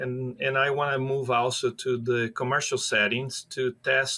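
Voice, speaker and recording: This is a man speaking. He has a Brazilian accent. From Brazil, near São Paulo. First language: Portuguese. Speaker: professor of animal science. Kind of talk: podcast interview. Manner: hesitant, many fillers.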